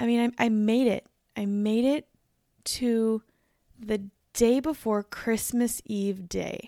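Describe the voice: A woman speaks slowly in a raspy, dark, mellow voice with vocal fry, her pitch fairly high and her intonation fairly even. The recording is very clean, with a silent background.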